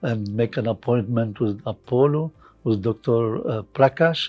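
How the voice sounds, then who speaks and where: With music in the background, a man talks at a fairly slow pace in a medium pitch with ordinary pitch variation. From Lebanon. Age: 70s. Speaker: hospital patient. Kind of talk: patient testimonial. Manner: hesitant, halting.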